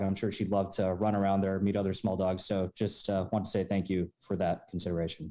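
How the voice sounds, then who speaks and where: Against a quiet background, a man talks at a fairly quick pace in a fairly low voice. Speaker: member of the public giving comment. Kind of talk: public comment. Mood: polite, grateful. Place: home room. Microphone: video call.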